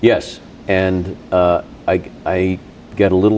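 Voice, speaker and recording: In a monotone, flat delivery, a man with an American accent speaks at a very deep, low pitch amid noticeable background noise. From Boston area. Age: 60s. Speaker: radio host. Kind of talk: casual chat. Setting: in-person recording at a gym.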